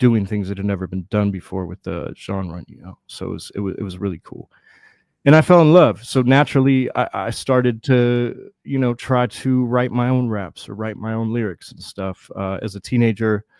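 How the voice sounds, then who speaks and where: On a very clean recording with a silent background, a man with a plain, everyday voice speaks at a medium pitch and moderate pace with ordinary pitch variation. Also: big swings in loudness, dry, close sound with no echo. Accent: American. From US Midwest, Cleveland, Ohio. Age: 40s. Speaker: rapper and beatmaker. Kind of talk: casual interview chat.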